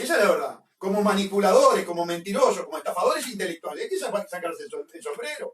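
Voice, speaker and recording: Speaking with a Uruguayan accent, a man keeps a fairly quick pace. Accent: Rioplatense Spanish (Uruguayan). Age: 60s. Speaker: political commentator. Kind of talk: radio interview. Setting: radio studio. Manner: animated.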